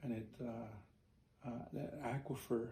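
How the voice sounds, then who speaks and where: A man's medium-pitched, somewhat breathy voice in a monotone, flat intonation. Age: 60s. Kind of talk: interview storytelling. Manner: halting, many fillers.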